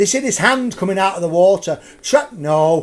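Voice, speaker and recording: Over noticeable background noise, a man talks with a Lancashire accent. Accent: Lancashire, drops H's. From Lancashire, northern England. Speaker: ghost tour guide. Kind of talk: live storytelling ghost tour. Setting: live stream. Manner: animated.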